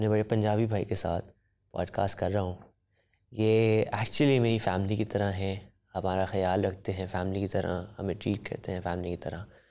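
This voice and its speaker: At a moderate pace, a man talks at a fairly low pitch. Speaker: podcast host. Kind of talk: podcast introduction. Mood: warm, smiling. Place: studio. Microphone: studio mic.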